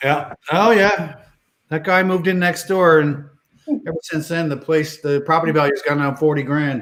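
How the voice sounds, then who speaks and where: A man with a Newfoundland accent speaks in a fairly high voice. His intonation is fairly even and his pace moderate. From Newfoundland, near St. John's. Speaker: bingo show host. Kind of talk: casual banter while calling bingo.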